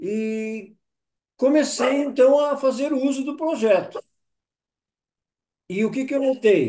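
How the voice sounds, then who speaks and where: This man speaks at a very slow pace with an extremely high pitch, a dark, mellow tone, ordinary pitch variation and long, frequent pauses. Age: 70s. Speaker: testimonial giver. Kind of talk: testimony.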